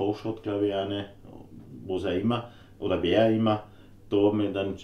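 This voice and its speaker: A man with a fairly low pitch speaks amid audible room echo and light background noise. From Austria. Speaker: woodworker. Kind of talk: casual Q&A chat. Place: workshop.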